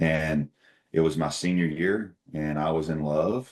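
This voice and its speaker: In an American accent, a man speaks with a very deep, low pitch and a dark, mellow tone. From Oklahoma. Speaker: company CEO. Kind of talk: interview conversation.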